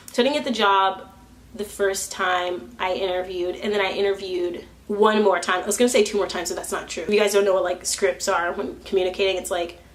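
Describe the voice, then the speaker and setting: The speech comes at a very fast pace, with audible room echo and noticeable background noise. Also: woman, medium pitch for a woman. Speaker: vlogger. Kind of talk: casual vlog monologue. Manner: loud; halting.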